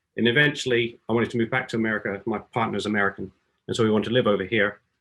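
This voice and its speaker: The speaker talks at a very fast pace in an English accent, with ordinary pitch variation. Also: man. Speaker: beamline scientist. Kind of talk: scientific talk.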